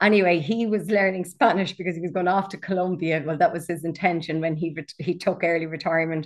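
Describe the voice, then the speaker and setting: At a very fast pace with hardly any pauses, a woman talks at a fairly low pitch with fairly even intonation. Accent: Irish. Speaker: author, coach and walking guide. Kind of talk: casual interview chat.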